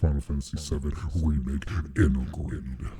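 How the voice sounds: A put-on character voice from a man, very deep and low, at a moderate pace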